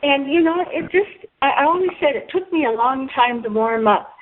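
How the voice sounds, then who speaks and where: With lively intonation, a woman talks at a high pitch. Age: 70s. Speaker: pioneering ultramarathon runner. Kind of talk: conference call reminiscence. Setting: phone conference call.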